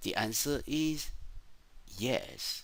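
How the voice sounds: A man talks very slowly in a medium-pitched, fairly bright voice. His intonation is lively.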